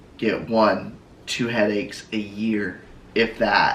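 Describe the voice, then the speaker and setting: In a room with audible echo, a man speaks very slowly in a monotone, flat intonation. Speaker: vlogger's partner. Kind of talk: casual chat. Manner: halting.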